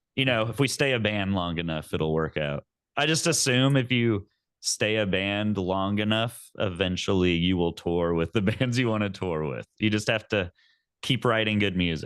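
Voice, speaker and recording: With an American accent, a man speaks in a plain, everyday voice at a fairly low pitch. His intonation is lively, his pace moderate, and the background quiet. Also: dry, close sound with no echo. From Texas. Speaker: metal band vocalist. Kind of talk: interview.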